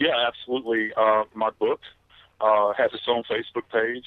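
A man talks with a Southern US accent. His pace is moderate. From US South. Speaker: retired death investigator and author. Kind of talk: interview.

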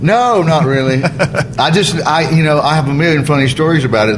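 There is noticeable background noise and audible room echo as a man speaks with an Alabama accent. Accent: US Southern (Alabama). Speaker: stand-up comedian. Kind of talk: casual chat.

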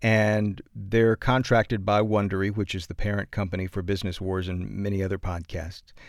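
In a very clean recording with a silent background, a man with a fairly low pitch speaks at a moderate pace with an American accent. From Atlanta, Georgia, US South. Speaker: podcast narrator and news radio host. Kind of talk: casual interview chat.

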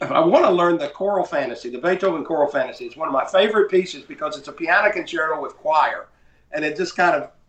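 Very fast speech with an Appalachian accent carries ordinary pitch variation. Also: man. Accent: Southern US, Appalachian foothills. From rural North Carolina. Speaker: composer and music publisher. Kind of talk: casual interview conversation.

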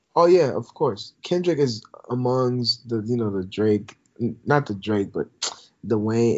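A man with an American accent has an ordinary speaking voice at medium pitch. His intonation is lively. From Minnesota, Twin Cities. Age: 20s. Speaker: student podcaster. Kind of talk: casual interview chat. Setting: remote call.

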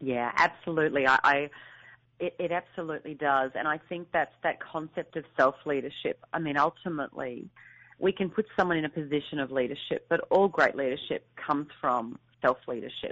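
Speaking at a fairly quick pace with an Australian accent, a woman uses a very deep, low pitch and ordinary pitch variation. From rural Australia. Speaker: author and speaker. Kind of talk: interview. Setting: phone call. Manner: fast talker.

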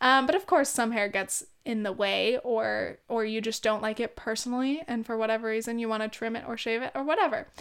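In a Californian accent, a woman with a fairly high voice talks fairly quickly with hardly any pauses and ordinary pitch variation, on a very clean recording with a silent background. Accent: Californian Valley Girl with vocal fry. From US, California (Orange County). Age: 20s. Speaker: podcast host. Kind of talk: casual monologue. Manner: animated.

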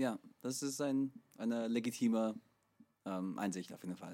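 A man speaks at a medium pitch with ordinary pitch variation. The recording is very clean, with a silent background. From USA. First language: English (speaking German). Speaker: podcast co-host, musician. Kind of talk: casual chat. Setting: recording studio.

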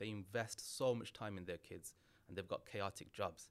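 A man uses an ordinary speaking voice at a fairly low pitch. He talks at a fairly quick pace with ordinary pitch variation. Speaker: criminology lecturer and author. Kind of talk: casual interview.

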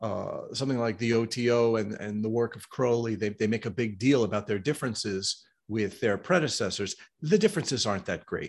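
A plain, everyday voice speaks at a moderate speed. The pitch rises and falls in an ordinary way. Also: man, quiet background. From US, New York City. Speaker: esoteric author and diagram artist. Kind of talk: interview.

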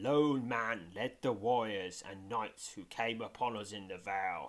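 A man puts on a growling character voice at a fairly low pitch, with ordinary pitch variation. He keeps a moderate pace while his loudness swings widely. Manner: snarling.

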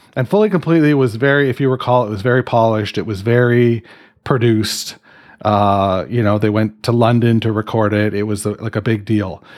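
In a Canadian accent, a man with a plain, everyday voice speaks at a medium pitch and a fairly quick pace, his intonation fairly even, on a very clean recording with a silent background. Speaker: podcast host. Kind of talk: casual chat.

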